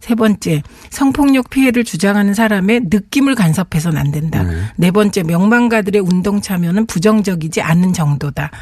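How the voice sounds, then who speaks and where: A woman at a moderate pace, her loudness very even, with noticeable background noise. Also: medium pitch for a woman, lively intonation. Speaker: politician. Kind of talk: radio interview. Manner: formal.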